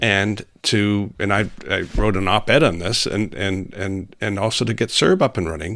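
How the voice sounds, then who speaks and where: Someone with a Canadian accent and a normal speaking voice talks at a fairly slow pace. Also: man, very clean recording, silent background. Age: 60s. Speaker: senator. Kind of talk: interview conversation.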